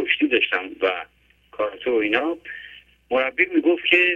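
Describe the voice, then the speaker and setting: A man is speaking. His pace is fairly quick. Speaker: caller. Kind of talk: phone-in opinion. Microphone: clear line.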